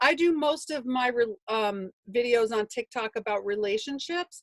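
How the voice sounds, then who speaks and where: The recording is dry and close with no echo, as a woman speaks in an animated tone with a fairly high pitch and ordinary pitch variation. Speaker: business coach and author. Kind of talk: webinar. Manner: fast.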